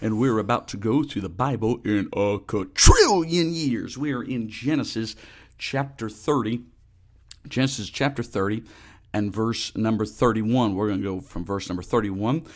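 A man talks in an animated tone at a medium pitch and a moderate pace. His pitch variation is ordinary, and the recording is very clean with a silent background. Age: 30s. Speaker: religious podcast host. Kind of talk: solo podcast devotional monologue.

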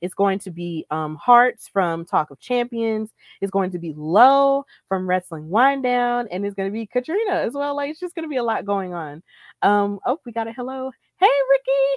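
A woman's fairly high voice with very wide pitch swings, at a moderate pace, in a very clean recording with a silent background and a dry, close sound with no echo. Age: 20s. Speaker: wrestling podcast host and commentator. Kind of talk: solo podcast recap. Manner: casual, filler-heavy.

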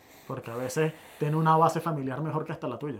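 A man with a fairly high pitch and a Venezuelan accent, very fast pace and fairly even intonation. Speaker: podcast co-host. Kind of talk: casual chat.

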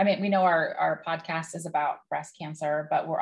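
Speaking at a fairly quick pace, a woman sounds somewhat breathy, with a fairly low pitch. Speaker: cancer advocate and podcast host. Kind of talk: casual interview chat.

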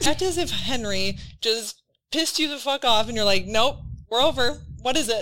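A woman speaks in a Wisconsin accent at a high pitch with a bright, sharp tone. Her intonation is lively and her pace moderate. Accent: Wisconsin Midwestern. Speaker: podcast host. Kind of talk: casual chat podcast.

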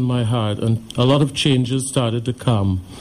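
Over noticeable background noise, a man talks at a fairly slow pace in a medium-pitched voice. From Trinidad and Tobago. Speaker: heart attack survivor. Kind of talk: testimony.

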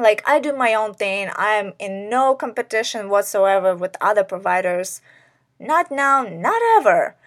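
A woman's fairly high voice, a normal speaking voice, with lively intonation at a fairly slow pace, on a very clean recording with a silent background. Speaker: podcast host and sex worker. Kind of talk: casual monologue. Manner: filler-heavy, many likes and ums.

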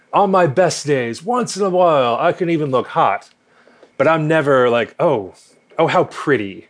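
Moderately paced speech in a plain, everyday voice, full of lively intonation. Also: man, fairly high pitch for a man. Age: 30s. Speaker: math teacher and amateur drag queen. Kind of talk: casual chat.

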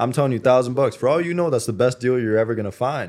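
A man with a medium voice and ordinary pitch variation is heard in a very clean recording with a silent background. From Canada. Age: 20s. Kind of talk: casual interview conversation.

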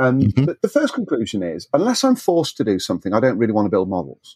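A man speaks with a British accent. The sound is dry and close, with no echo. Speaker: scale modeler and blogger. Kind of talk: casual interview chat. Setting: remote call.

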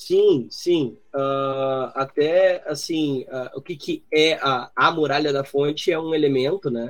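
A man with a fairly high pitch talks at a very slow pace, with fairly even intonation and hardly any pauses. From southern Brazil (Rio Grande do Sul). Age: 30s. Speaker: journalist and podcaster. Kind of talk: casual chat. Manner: halting, many fillers.

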